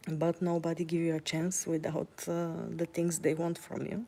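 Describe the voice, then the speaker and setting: In a Bulgarian accent, a woman speaks at a fairly slow pace with a fairly low pitch, a dark, mellow tone and monotone, flat intonation. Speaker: vlogger. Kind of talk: casual vlog monologue while walking. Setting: outdoors, walking. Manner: hesitant, many fillers.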